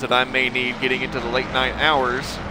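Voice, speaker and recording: There is noticeable background noise. Over it, a man with an American accent talks at a fairly quick pace. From United States, various places. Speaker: sim racing commentator. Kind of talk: live commentary. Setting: live stream.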